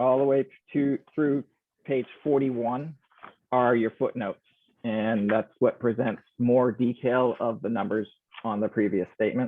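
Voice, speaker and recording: With a normal speaking voice, a man talks at a fairly slow pace in a medium pitch and fairly even intonation. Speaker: auditor presenting financial statements. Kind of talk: financial report presentation.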